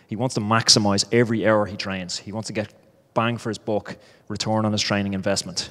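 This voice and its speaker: In an Irish accent, a man speaks at a fairly quick pace with monotone, flat intonation. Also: fairly low pitch for a man. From Ireland. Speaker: startup founder, former professional cyclist. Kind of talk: startup pitch.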